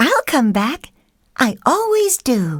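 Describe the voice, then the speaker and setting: A woman speaks in a put-on character voice pitched high. Her pitch swings very widely. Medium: read story.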